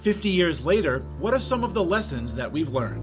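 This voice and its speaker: A man delivers his words at a fairly quick pace while music plays in the background. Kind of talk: documentary trailer narration.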